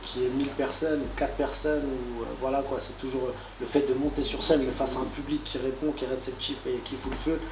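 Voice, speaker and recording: Noticeable background noise and audible room echo around a man talking at a fairly quick pace. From France, Paris. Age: 30s. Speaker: rapper. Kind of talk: interview. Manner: casual, hesitant fillers.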